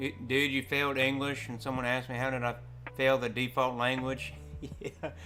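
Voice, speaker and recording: With music playing behind him, a man of medium pitch speaks in a strong Southern Appalachian accent. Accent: thick Southern Appalachian. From US South, Southern Appalachia, Tennessee. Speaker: video game streamer. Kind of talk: casual chat. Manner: animated.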